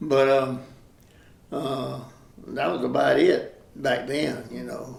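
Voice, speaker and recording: Speaking very slowly, a man leaves long, frequent pauses and swings widely in loudness, with noticeable background noise and audible room echo around him. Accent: Southern US. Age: 80s+. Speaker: local resident sharing memories. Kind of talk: oral history interview. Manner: halting, many fillers.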